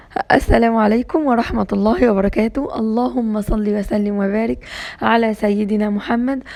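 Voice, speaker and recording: A woman's animated, fairly high voice with an Egyptian accent, at a moderate pace. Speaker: homemaking vlogger. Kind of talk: casual vlog monologue.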